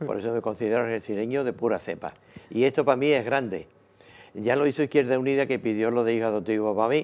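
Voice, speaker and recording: Very fast and with fairly even intonation, a man speaks. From Huelva, western Andalusia, Spain; Andalusia, Spain. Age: 80s+. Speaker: community volunteer; interviewee. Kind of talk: interview. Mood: proud, warm about his town. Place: studio. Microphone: lapel.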